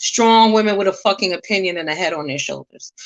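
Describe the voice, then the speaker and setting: A woman at medium pitch moves along at a fairly quick pace, with ordinary pitch variation. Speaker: livestream commentator. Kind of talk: casual commentary rant. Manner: loud; strong, forceful.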